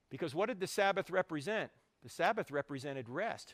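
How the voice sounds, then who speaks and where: Very wide pitch swings and an animated tone mark a man with an American accent in a very clean recording with a silent background. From New Jersey. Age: 60s. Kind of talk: apologetics lecture. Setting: university hall with live audience. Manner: fast.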